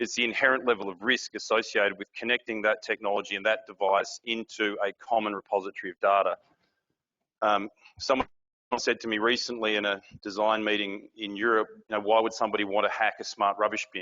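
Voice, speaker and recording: A man talks at a fairly quick pace with a fairly low pitch. His intonation is monotone and flat. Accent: Australian. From Australia. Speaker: industry board member, conference speaker. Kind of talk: conference presentation.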